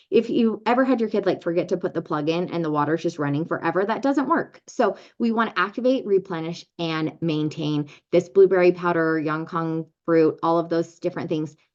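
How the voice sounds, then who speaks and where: Fairly low in pitch, a woman talks at a fairly quick pace with hardly any pauses. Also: ordinary pitch variation. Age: 40s. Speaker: network marketing presenter. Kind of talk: sales pitch. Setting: video call. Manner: animated.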